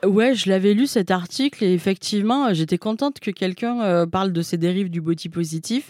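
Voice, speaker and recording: A woman's normal speaking voice, medium in pitch, with ordinary pitch variation and hardly any pauses. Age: 30s. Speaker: author and journalist. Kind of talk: interview.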